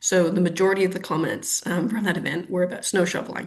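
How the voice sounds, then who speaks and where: With a Canadian accent, a woman speaks at a moderate pace and a fairly low pitch. Vocal fry runs through her voice. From Canada, Ottawa. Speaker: urban planner. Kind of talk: webinar interview. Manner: hesitant, many fillers.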